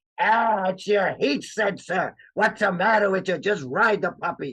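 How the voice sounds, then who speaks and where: A put-on character voice, gravelly and gruff, comes through at a middle pitch and a moderate pace. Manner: surly, gruff.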